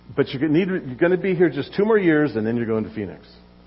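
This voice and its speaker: Very wide pitch swings in a man's voice. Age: 70s. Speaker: pastor. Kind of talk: sermon. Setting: church.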